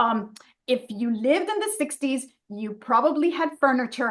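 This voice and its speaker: A woman's high voice with a Spanish accent at a moderate pace. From New York City, Dominican family. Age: 60s. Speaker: fine art photographer and portrait artist. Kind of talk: casual interview chat.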